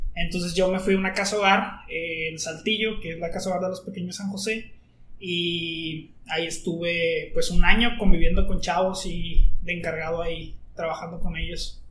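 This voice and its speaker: Big swings in loudness, a flat monotone delivery, audible room echo, noticeable background noise, hardly any pauses and a moderate pace. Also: man, high pitch for a man. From northern Mexico, Coahuila (Monclova). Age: 20s. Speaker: university student. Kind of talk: casual chat.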